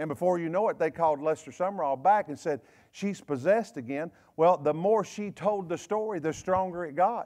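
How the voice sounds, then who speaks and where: With a Southern US accent, a man speaks in a high voice at a fairly quick pace, his tone animated and his pitch variation ordinary, over a quiet background. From US South. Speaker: pastor. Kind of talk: fiery, conversational Wednesday-night sermon scolding gossip. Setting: church. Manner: animated call-and-response preaching, repeating phrases for emphasis; blunt, confrontational, folksy with frequent self-corrections and stammered repeats. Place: church. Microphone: lapel.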